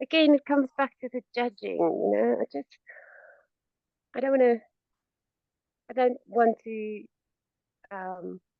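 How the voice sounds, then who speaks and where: A woman with a non-native accent at a fairly slow pace, long and frequent pauses, and big swings in loudness. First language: not English. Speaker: coaching client. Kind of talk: coaching session. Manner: halting.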